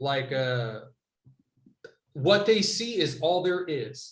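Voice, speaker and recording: Audible room echo surrounds a loud man who speaks at a very slow pace with very wide pitch swings and long, frequent pauses. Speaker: podcast co-host. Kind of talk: casual chat. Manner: animated.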